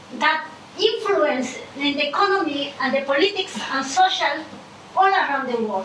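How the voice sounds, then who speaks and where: With a non-native accent and lively intonation, a woman talks at a high pitch and moderate pace amid noticeable background noise and audible room echo. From Ecuador. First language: Spanish. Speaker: audience member asking questions. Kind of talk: audience question at panel. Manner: halting.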